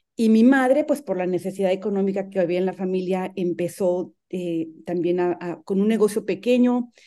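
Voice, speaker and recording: A woman's dark, mellow tone with ordinary pitch variation and hardly any pauses, over a quiet background. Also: medium pitch for a woman, moderate pace. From Mexico, rural San Luis Potosí. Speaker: human rights defender. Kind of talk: interview.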